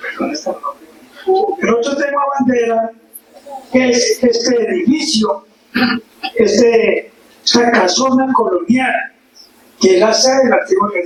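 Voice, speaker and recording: A man talks at a fairly slow pace with an extremely high pitch. His intonation is lively, and background noise is noticeable. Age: 80s+. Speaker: local historian and author. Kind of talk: forum talk.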